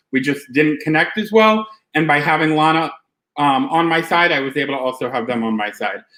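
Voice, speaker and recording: Here a man talks at a fairly quick pace. His tone is bright and sharp, and his pitch is fairly high. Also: lively intonation. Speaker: reality game contestant. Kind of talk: competition final speech. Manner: fast; hesitant fillers.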